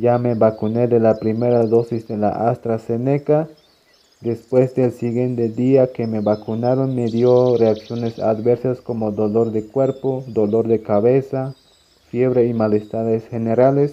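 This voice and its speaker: Flat and monotone, a man talks at a fairly slow pace and medium pitch. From Mexico, Chiapas (San Juan Cancuc). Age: 20s. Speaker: vaccinated community member. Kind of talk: recorded testimony.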